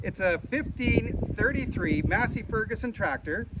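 A man speaks at a moderate pace in an enthusiastic tone. Loud background noise fills the recording. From Canada. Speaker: auctioneer. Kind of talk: auction promo to camera. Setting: outdoors. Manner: enthusiastic sales pitch. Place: farm machine. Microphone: phone near.

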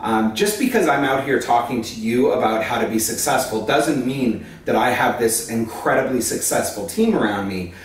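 A man talks at a fairly quick pace. The room echo is audible. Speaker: educator. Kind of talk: casual vlog chat. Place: home room.

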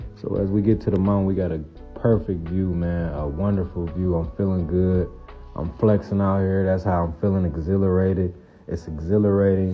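Over music in the background, the speaker talks at a moderate pace with fairly even intonation. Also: man. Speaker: trucker vlogger. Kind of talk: casual vlog chat. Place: open country. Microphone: phone near.

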